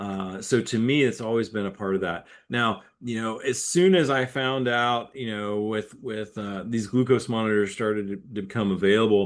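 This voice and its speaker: The speech runs at a moderate pace with hardly any pauses over a quiet background. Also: man, medium pitch for a man, ordinary pitch variation. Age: 50s. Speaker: cycling coach and author. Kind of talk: webinar interview. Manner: repetitive, halting starts.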